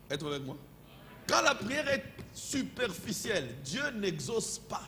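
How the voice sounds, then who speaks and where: The speech is very slow, with very wide pitch swings and big swings in loudness. Room echo is audible and the background noise is noticeable. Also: man, high pitch for a man. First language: not French (speaking French). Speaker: pastor. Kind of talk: sermon. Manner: halting.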